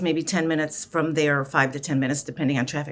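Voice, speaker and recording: In a very clean recording with a silent background, a woman with an American accent talks at a very fast pace. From US Midwest, Chicago. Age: 60s. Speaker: life coach. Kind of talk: interview.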